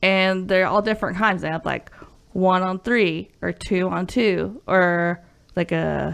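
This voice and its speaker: At a fairly slow pace, a woman with a Southern US accent and medium pitch speaks with fairly even intonation against a quiet background. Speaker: video game podcast host. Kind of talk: casual chat.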